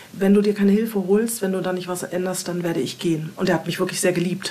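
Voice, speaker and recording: A woman's medium-pitched voice, very fast and monotone, flat in intonation, with noticeable background noise and audible room echo. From Hamburg, northern Germany. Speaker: former alcoholic and emigrant. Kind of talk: interview. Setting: home studio.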